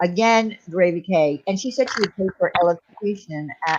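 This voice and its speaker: At a moderate pace, the speaker talks with a Long Island accent. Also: woman. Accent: New York (Long Island). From Long Island, New York. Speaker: livestream host. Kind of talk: casual livestream chat. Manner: animated.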